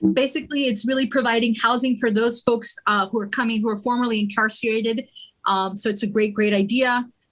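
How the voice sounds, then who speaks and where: A woman talks very fast with a Spanish accent and a fairly high pitch. Her intonation stays fairly even. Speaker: political club member presenting bills. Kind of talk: meeting presentation. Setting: livestreamed meeting.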